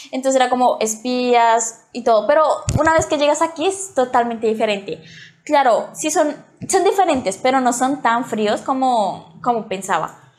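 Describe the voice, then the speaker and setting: A woman speaking at a moderate pace, her pitch high. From Colombia, Bogotá. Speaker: student, interviewee. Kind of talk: interview.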